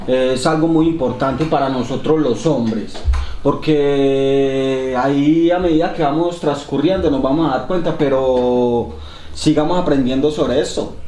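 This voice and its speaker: Amid noticeable background noise and audible room echo, a man talks at a fairly slow pace with fairly even intonation and very even loudness. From Colombia. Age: 30s. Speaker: podcast host. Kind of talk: casual podcast conversation.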